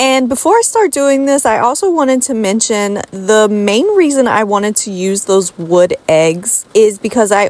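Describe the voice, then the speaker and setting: Lively intonation at a fairly slow pace, in a dry sound with no echo. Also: woman. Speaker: home decor DIY creator. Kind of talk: tutorial voice-over. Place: home room.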